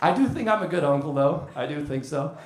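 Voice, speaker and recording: A man's pitch swings very widely, heard with audible room echo and noticeable background noise. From Munich, Germany, of Welsh family. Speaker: stand-up comedian. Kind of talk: stand-up. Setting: comedy club stage with audience.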